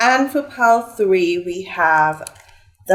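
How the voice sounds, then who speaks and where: A woman's voice moves through very wide pitch swings. Noticeable background noise runs underneath. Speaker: tarot reader. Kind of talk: tarot reading. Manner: casual, chatty.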